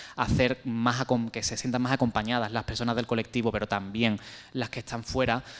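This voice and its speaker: This man's voice sits at a medium pitch. He delivers everything in a flat, monotone way. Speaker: panel speaker on LGBTI health. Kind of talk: panel discussion. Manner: fast.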